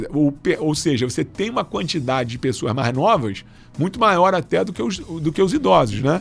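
Somewhat breathy, a man with a fairly high pitch makes very wide pitch swings at a moderate pace. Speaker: doctor and health official. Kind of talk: radio interview. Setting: radio studio. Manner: halting, many fillers.

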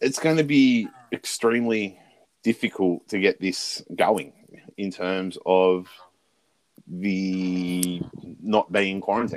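Speech comes at a very slow pace with long, frequent pauses. The Australian accent carries ordinary pitch variation. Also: man, fairly low pitch for a man. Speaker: sports podcast host. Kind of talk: casual chat.

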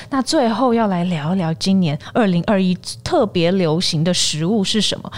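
A plain, everyday voice from a woman, medium-pitched, moderately paced and lively in intonation. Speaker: podcast host. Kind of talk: casual chat.

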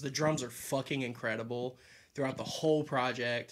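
Fairly even in intonation, a man speaks at a medium pitch on a very clean recording with a silent background. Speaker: music podcast co-host. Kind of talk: casual chat.

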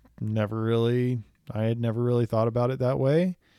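Keeping his intonation fairly even, a man speaks at a moderate pace and a medium pitch. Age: 30s. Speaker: podcast co-host. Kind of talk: casual chat.

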